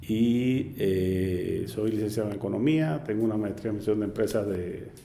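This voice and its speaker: A man speaks at a fairly low pitch with a dark, mellow tone. Room echo is audible. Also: ordinary pitch variation, moderate pace. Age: 60s. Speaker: cancer survivor, travel agency owner. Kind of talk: interview testimony. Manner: halting.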